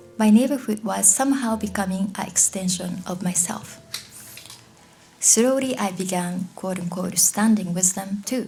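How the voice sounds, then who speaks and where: In a medium pitch and at a moderate pace, a woman with a Japanese accent speaks with ordinary pitch variation over noticeable background noise. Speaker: author. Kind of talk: Q&A answers; reading aloud. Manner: halting.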